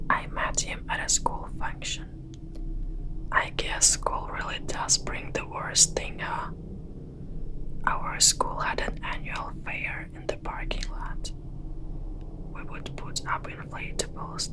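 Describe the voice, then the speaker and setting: A whisper moves at a very slow pace while noticeable noise sounds in the background. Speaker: ASMR storyteller. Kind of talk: horror story narration. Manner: whispered.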